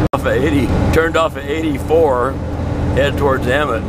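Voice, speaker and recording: Loud background noise surrounds this man as he talks at a moderate pace. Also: dry sound with no echo. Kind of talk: casual vlog chat. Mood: mildly worried about the weather. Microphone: camera far.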